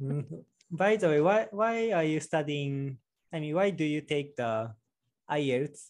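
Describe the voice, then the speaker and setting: A man with a Japanese accent talks at a fairly slow pace, using a fairly high pitch and lively intonation. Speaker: office worker, YouTuber. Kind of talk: casual interview chat. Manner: halting, non-fluent English.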